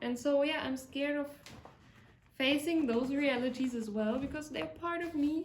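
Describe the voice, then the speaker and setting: In a German accent, a woman with a high pitch speaks at a moderate pace with ordinary pitch variation. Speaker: vlogger, fitness instructor. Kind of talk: casual vlog monologue. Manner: reflective, hesitant.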